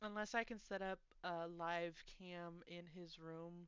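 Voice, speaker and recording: This woman talks in a fairly low voice with a monotone, flat delivery. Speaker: live streamer. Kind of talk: casual live stream chat. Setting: live stream. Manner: rambling, chatty.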